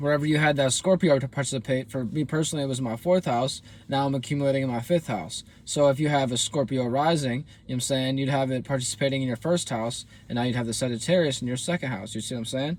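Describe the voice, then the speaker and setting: With ordinary pitch variation, a man with a fairly high pitch speaks at a very fast pace. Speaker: astrology content creator and musician. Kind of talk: astrology reading monologue. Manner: casual, filler-heavy.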